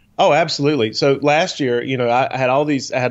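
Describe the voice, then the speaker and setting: A man's normal speaking voice, medium in pitch with ordinary pitch variation, at a fairly quick pace. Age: 40s. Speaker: guitarist and business owner. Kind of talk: casual chat. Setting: live stream with chat.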